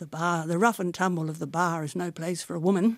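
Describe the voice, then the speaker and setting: In a very clean recording with a silent background, a woman talks at a fairly quick pace and fairly low pitch. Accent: Australian. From Australia, Sydney. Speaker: barrister. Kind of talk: oral history interview.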